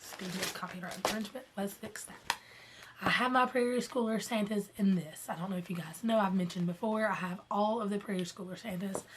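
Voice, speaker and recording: A woman talks at a fairly quick pace and medium pitch, with ordinary pitch variation and noticeable background noise. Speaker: cross-stitch vlogger. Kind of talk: casual talk to camera.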